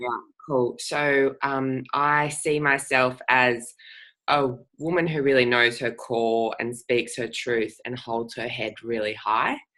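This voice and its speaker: A bright, sharp tone at a very slow pace, with fairly even intonation. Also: woman, very deep, low pitch for a woman. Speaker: coaching program participant. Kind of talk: reading personal vision statement aloud.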